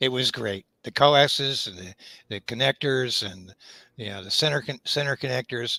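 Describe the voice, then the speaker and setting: The man's voice is medium in pitch with a bright, sharp tone and ordinary pitch variation, at a moderate pace. The sound is dry and close with no echo, on a very clean recording with a silent background. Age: 70s. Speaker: amateur radio operator. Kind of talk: casual chat. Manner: halting.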